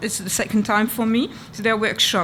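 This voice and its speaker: With a French accent, a woman speaks at a fairly high pitch. Her pace is moderate. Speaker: archivist. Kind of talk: conference presentation. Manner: halting.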